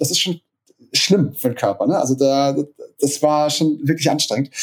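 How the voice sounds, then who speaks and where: A man speaks at a moderate pace. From Hamburg, northern Germany. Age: 30s. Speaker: DJ and music producer. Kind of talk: podcast interview. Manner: hesitant, many fillers.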